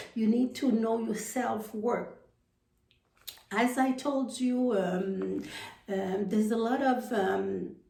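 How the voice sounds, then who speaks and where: In a room with audible echo, a woman with a fairly high pitch speaks at a very slow pace, with fairly even intonation and long, frequent pauses. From Haiti. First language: French or Haitian Creole. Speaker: personal development coach. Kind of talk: motivational talk to camera. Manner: halting, many fillers and repetitions.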